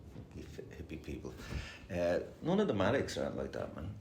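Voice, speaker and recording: Amid noticeable background noise and audible room echo, a man speaks with an Irish accent. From Ireland. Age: 60s. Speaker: recovering addict sharing at a meeting. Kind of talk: recovery meeting share. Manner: fast; casual, swearing, hesitant fillers.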